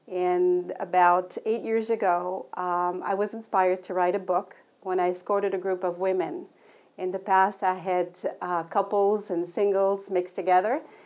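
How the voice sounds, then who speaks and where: Speaking in a French accent at a moderate pace, a woman holds a medium pitch with monotone, flat intonation. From Belgium, Brussels. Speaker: author and travel counselor. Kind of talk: book presentation. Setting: local TV studio.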